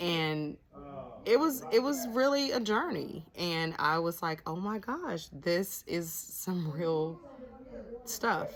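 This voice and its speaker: Over noticeable background noise, a woman at medium pitch speaks with very wide pitch swings. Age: 50s. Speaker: nurse practitioner and vlogger. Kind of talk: casual vlog monologue. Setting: cabin in the mountains. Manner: laid-back.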